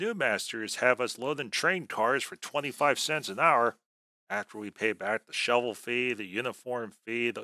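Someone does a plain reading aloud with ordinary pitch variation against a quiet background.

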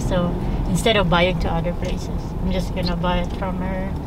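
A woman's voice comes through dry with no echo, amid loud background noise. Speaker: family vlogger driving. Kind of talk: casual vlog chat. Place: car.

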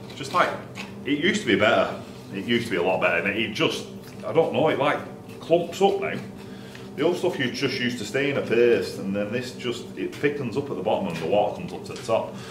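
A man talks at a very fast pace amid noticeable background noise. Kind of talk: tutorial. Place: workshop.

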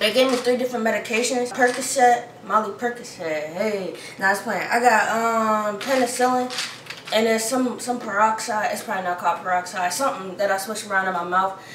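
Speaking at a fairly quick pace with ordinary pitch variation, a woman is heard with audible room echo and light background noise. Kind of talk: casual vlog chat. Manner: swollen-jaw speech, slightly muffled. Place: kitchen. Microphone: phone near.

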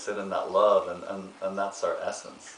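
A male speaker with noticeable room reverberation and faint background noise. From Ireland. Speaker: actor and meditation therapist. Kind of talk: interview answer. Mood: warm, earnest, gentle. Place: home room.

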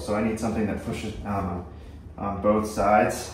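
A man speaks with audible room echo and light noise in the background. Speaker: ham radio hobbyist. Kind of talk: tutorial. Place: home room. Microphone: camera far.

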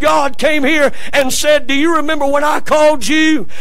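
The voice has an animated tone and a Southern US accent. The pace is moderate. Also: man. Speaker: preacher. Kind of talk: sermon in a church service, preacher in full flow, call-and-response with congregation. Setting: church. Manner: animated, exhorting, rallying the congregation to say amen. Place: church. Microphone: podium.

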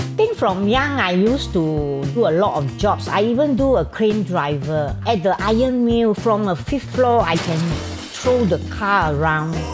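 A woman's fairly slow voice with very wide pitch swings, clear music playing behind her. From Singapore. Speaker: cosplayer. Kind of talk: interview answer. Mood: cheerful, warm. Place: home room.

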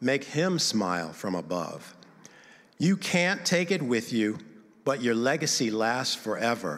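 Against a quiet background, a man speaks in a sing-song way with vocal fry, very wide pitch swings and a fairly slow pace. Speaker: church member sharing about giving and reading his own poem. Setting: church service, in the building. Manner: earnest, rhythmic, measured, sing-song rhyme cadence. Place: church. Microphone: handheld.

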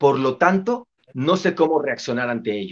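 A man speaks at a fairly slow pace with an animated tone and lively intonation. The background is quiet. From Mexico City. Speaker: motivational speaker. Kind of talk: casual interview chat. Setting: video call. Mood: cheerful, joking. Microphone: video call.

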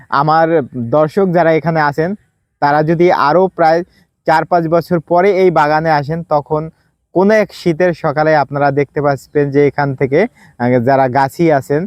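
An unremarkable speaking voice from a man, with very even loudness and fairly even intonation. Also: fairly high pitch for a man. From Bangladesh, Madaripur district. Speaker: agriculture advisor and video presenter. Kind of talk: on-site explainer video to camera. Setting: outdoors in a date palm orchard.

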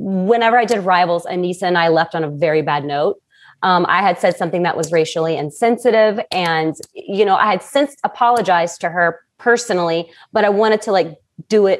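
Over a quiet background, a woman speaks at a fairly quick pace. Her pitch variation is ordinary. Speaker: remote podcast guest. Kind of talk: interview answer. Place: home room. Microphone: earbuds.

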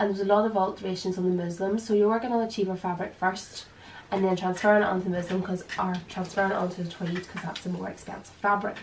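Against noticeable background noise, a woman with an Irish accent speaks at a very fast pace and medium pitch, her intonation monotone and flat. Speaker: dressmaker and designer. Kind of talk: casual sewing tutorial to camera.

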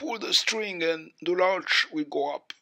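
Someone does a put-on character voice at a middle pitch, speaking at a fairly slow pace. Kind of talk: reading aloud a story.

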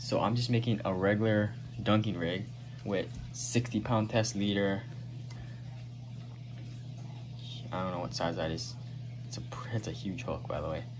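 A man at a fairly slow pace, his intonation fairly even, with music in the background. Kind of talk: casual vlog chat. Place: home room. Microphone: phone near.

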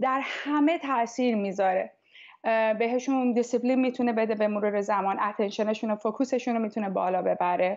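A woman with an ordinary speaking voice, fairly high in pitch, at a moderate pace with ordinary pitch variation, very even loudness and a quiet background. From Tehran, Iran. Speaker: music teacher. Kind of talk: interview. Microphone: earbuds.

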